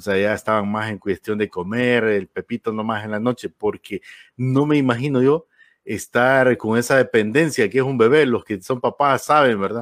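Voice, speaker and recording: A man's medium-pitched, normal speaking voice at a moderate pace, ordinary pitch variation, dry, close sound with no echo and a very clean recording with a silent background. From Honduras. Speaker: radio host. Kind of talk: interview.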